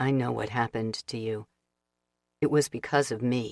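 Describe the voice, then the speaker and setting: This is a put-on character voice with a low pitch and a strained sound. The pace is moderate. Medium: read story.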